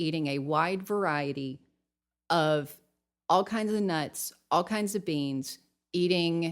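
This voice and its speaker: A woman with a Southern US accent, fairly low pitch, ordinary pitch variation and a fairly slow pace, on a very clean recording with a silent background. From Tennessee. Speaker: nutrition coach. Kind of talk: podcast interview.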